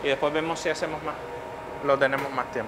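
The background has faint noise. A man speaks with a bright, sharp tone.

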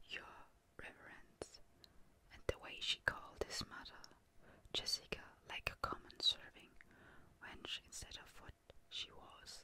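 With a dry sound that has no echo, a soft-spoken woman whispers with long, frequent pauses and big swings in loudness over light background noise. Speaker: reader. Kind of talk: soft-spoken book reading. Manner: soft whispered book reading. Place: home room.

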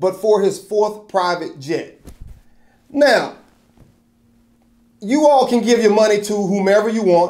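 Against a quiet background, the speaker goes at a fairly slow pace with ordinary pitch variation. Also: man. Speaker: video commentator / host of his own channel. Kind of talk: opinion commentary to camera. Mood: skeptical, mildly sarcastic.

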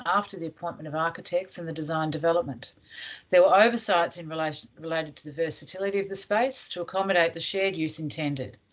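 A woman speaking very fast, her pitch fairly low, with ordinary pitch variation and big swings in loudness

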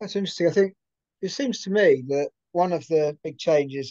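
Someone with a British accent talks at a moderate pace. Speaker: podcast host. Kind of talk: casual interview.

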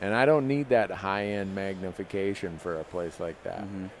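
A man speaks in a normal speaking voice at a fairly low pitch, with ordinary pitch variation. The sound is dry with no echo, over light background noise. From Minnesota, US Midwest. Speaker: hunting show host. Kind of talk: live panel discussion. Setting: trade show booth, live stream. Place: stage. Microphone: headset.

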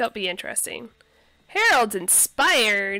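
At medium pitch and a fairly slow pace, a woman speaks in a bright, sharp tone with big pitch swings.

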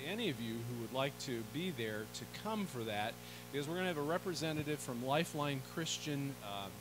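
A man talks at a fairly quick pace. Background noise is noticeable throughout. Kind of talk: church announcements. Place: church.

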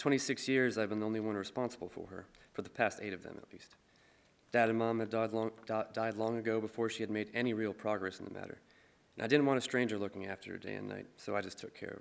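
A man with an American accent talks at a very fast pace with monotone, flat intonation and big swings in loudness. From Michigan. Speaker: musician and poet. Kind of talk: reading aloud. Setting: stage with audience. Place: stage. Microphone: podium.

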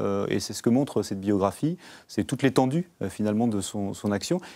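Against a quiet background, a man with a dark, mellow tone speaks with lively intonation. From Normandy, France (Canteleu); Normandy, France. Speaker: member of parliament; guest. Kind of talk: TV interview. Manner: hesitant, many filler sounds. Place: studio. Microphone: lapel.

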